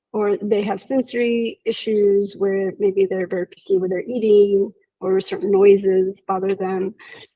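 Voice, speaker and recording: With hardly any pauses, a woman speaks at a fairly slow pace and medium pitch, her tone dark and mellow and her intonation monotone and flat. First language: Spanish. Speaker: psychologist. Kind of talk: interview.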